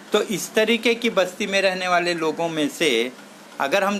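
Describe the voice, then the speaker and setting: A man speaks at a high pitch with lively intonation. There is noticeable background noise. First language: Marathi (speaking Hindi). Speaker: social activist speaker. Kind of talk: talk.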